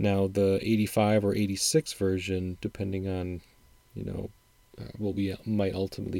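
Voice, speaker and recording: A man with an American accent speaks at a moderate pace in a dark, mellow, fairly low voice, his intonation flat and monotone. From Wisconsin, upper Midwest US. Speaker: podcast host, music commentator. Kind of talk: solo podcast monologue.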